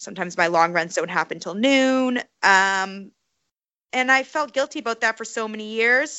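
Woman with a Canadian accent and an unremarkable speaking voice, fairly high in pitch, at a moderate pace with lively intonation. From Canada, Calgary. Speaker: professional obstacle course racer and running coach. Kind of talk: interview conversation.

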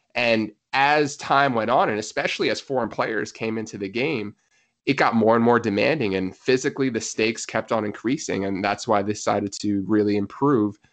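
An unremarkable speaking voice with an American accent moves at a fairly quick pace with ordinary pitch variation over a quiet background. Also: man, medium pitch for a man. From US, New Jersey. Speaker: physiotherapist and soccer coach. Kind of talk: casual interview chat.

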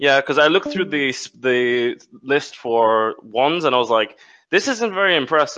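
A man speaks in an ordinary speaking voice, fairly high-pitched, at a moderate pace with lively intonation. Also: very even loudness. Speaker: tabletop game player. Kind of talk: casual tabletop roleplaying game session.

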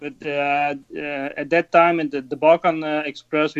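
Monotone and flat, a man with a Dutch accent speaks at a fairly slow pace in a fairly high voice. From Netherlands. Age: 30s. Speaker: rally driver. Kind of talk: casual interview.

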